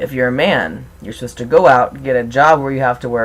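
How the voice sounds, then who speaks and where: A man speaks at a medium pitch. His pitch moves in an ordinary way. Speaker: transgender video blogger. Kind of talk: vlog monologue. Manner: fast.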